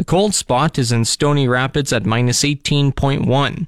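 This man has a plain, everyday voice at a medium pitch with ordinary pitch variation. The sound is dry and close with no echo, and the recording is very clean with a silent background. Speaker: radio host. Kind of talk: radio news broadcast. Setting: studio. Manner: formal.

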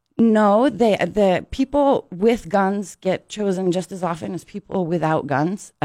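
A woman with an American accent, medium in pitch, at a moderate pace, in a normal speaking voice. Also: ordinary pitch variation. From southern Arizona ranch. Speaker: school board member. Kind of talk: radio interview. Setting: studio.

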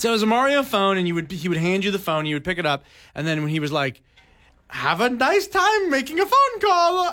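A man with a high pitch uses a raised, projected voice and a bright, sharp tone, moving through very wide pitch swings at a fairly quick pace. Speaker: radio host. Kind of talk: casual chat. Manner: loud.

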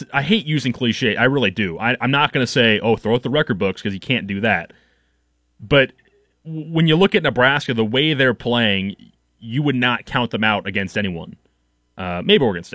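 A man's medium-pitched, bright, sharp voice with lively intonation at a moderate pace, dry and close with no echo on a very clean recording with a silent background. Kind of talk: radio DJ patter, casual sports-radio host chat with station promos. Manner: chatty and relaxed, filler-heavy with frequent 'um' and restarts.

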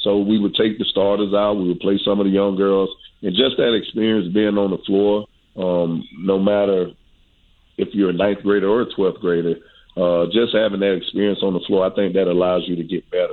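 A man talks fairly quickly, his intonation monotone and flat. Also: fairly low pitch for a man, very even loudness. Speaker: high school basketball coach. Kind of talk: radio interview.

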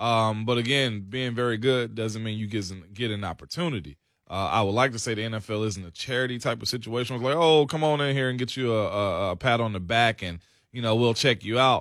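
A man talks in a normal speaking voice at a medium pitch. He moves at a fairly quick pace with ordinary pitch variation. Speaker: radio co-host. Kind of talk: casual sports radio banter. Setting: radio studio.

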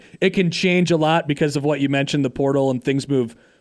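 A man with a plain, everyday voice at a fairly high pitch and ordinary pitch variation, on a very clean recording with a silent background. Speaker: podcast co-host interviewer. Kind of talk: interview.

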